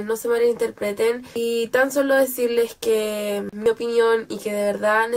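A woman with a fairly high pitch. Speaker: book vlogger. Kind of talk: casual talk to camera.

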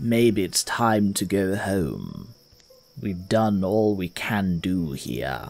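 A man's put-on character voice, fairly low in pitch and at a very slow pace, with music in the background. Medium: actual play. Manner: calm, reassuring.

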